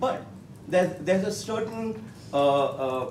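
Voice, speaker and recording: A man with an Indian accent, with audible room echo and noticeable background noise. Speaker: professor. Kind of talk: panel discussion. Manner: halting, many fillers.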